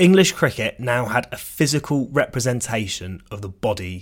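Lively in intonation and moderate in pace, a man with a normal speaking voice is heard on a very clean recording against a silent background. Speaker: cricket podcaster. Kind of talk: history documentary narration. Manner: measured, storytelling delivery with dry wit; clear, formal, scripted pacing.

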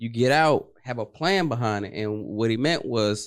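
A man in a normal speaking voice, at a medium pitch and moderate pace, with ordinary pitch variation, on a very clean recording with a silent background. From Washington, D.C. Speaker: trucking entrepreneur, former military police. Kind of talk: casual interview.

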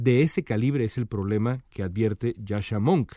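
On a very clean recording with a silent background, a man speaks fairly slowly in a dark, mellow tone with ordinary pitch variation. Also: dry, close sound with no echo. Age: 40s. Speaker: political commentator. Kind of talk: opinion monologue.

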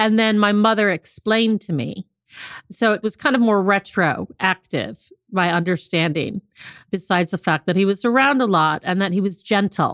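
A woman with an American accent speaks at a medium pitch and a moderate pace, in a normal speaking voice with ordinary pitch variation. The sound is dry and close with no echo, over a quiet background. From US Midwest, South Bend, Indiana. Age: 50s. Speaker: author. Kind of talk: interview, personal story.

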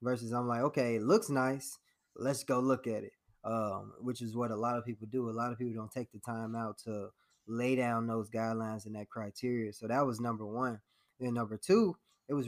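In a plain, everyday voice with an American accent, a man speaks at a medium pitch and a fairly quick pace. His intonation is fairly even, and the recording is very clean with a silent background. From Chicago south suburbs (Harvey, Illinois). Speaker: accountant and investor. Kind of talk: interview.

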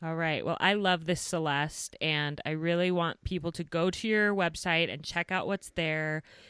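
A woman speaks in an ordinary speaking voice at a fairly low pitch and a moderate pace, with hardly any pauses. Her intonation is fairly even, and the recording is very clean with a silent background. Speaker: podcast host for mothers. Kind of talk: interview.

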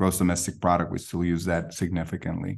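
Over a quiet background, a man with a very deep, low voice speaks in a flat monotone. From Guatemala (Guatemala City). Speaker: seminary president and pastor. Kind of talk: interview conversation.

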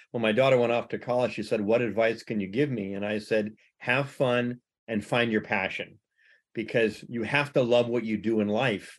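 A man with a plain, everyday voice speaks in an American accent at a medium pitch. He keeps a moderate pace and fairly even intonation. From United States. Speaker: podcast host. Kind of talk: interview.

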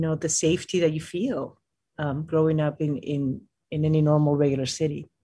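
A woman talks in a Spanish accent at a moderate pace. Her pitch is very deep and low. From Peru, Lima. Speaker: mountaineer. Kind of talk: interview. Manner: halting.

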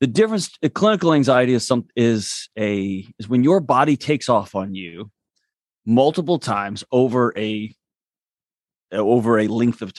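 Lively intonation comes through in a dry, close recording with no echo and a quiet background. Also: man, medium pitch for a man. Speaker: mental health expert. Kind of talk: casual interview chat. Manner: fast talker.

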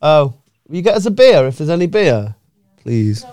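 Someone with a Manchester accent talks at a moderate pace, the pitch swinging very widely. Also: man. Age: 30s. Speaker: podcast host. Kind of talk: casual chat.

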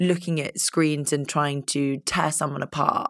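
The recording is very clean with a silent background. A woman with a very deep, low pitch and vocal fry talks at a moderate pace. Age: 20s. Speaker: podcast host. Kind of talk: interview. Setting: studio.

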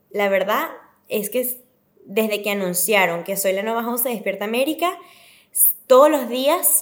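A plain, everyday voice from a woman, fairly high in pitch, with lively intonation and a moderate pace. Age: 20s. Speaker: TV presenter. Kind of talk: casual interview chat.

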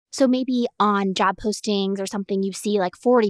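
Recorded very cleanly against a silent background, a woman speaks at a medium pitch in an animated tone, with a dry, close sound and no echo. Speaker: podcast host and business coach. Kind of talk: scripted intro then casual solo talk. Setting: solo recording. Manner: fast talker; animated, excitable.

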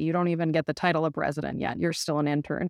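The recording of a woman with a Minnesotan accent sounds dry and close with no echo, over a quiet background. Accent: mild Minnesotan. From US Midwest. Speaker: family medicine doctor. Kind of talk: casual chat. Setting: video call.

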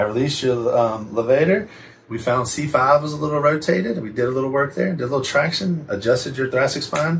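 Noticeable background noise surrounds a man's medium-pitched voice. He speaks at a very fast pace with ordinary pitch variation. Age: 40s. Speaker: physical therapist. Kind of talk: casual chat.

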